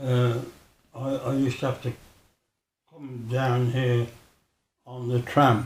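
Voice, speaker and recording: In a Birmingham accent, a man at medium pitch speaks very slowly with monotone, flat intonation, a somewhat breathy sound and long, frequent pauses. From Birmingham, England. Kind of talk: interview answer.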